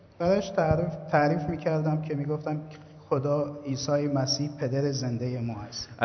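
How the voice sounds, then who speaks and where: There is noticeable background noise behind a man with a fairly high pitch. He talks at a fairly slow pace. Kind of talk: testimony. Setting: church service.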